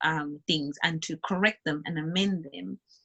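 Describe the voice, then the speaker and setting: A woman speaks with an African accent. Her pace is fairly slow. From Zimbabwe. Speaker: entrepreneur, beauty company founder. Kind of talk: interview.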